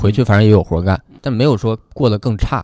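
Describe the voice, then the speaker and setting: Here a man speaks. His tone is dark and mellow. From Heilongjiang, northeast China. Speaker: stand-up comedian. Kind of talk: casual chat.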